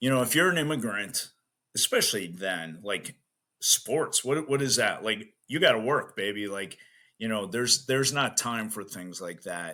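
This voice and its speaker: In a Chicago accent, a man speaks at a medium pitch and a moderate pace with a bright, sharp tone. The recording is very clean, with a silent background. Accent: Chicago American English. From US Midwest, south side of Chicago. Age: 60s. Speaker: strength coach. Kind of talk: podcast interview. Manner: casual, many fillers.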